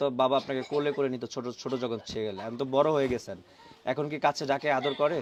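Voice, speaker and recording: A man speaks in an unremarkable speaking voice with a fairly high pitch. His pitch varies an ordinary amount. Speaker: interviewer of people in hardship for online channel. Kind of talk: interview.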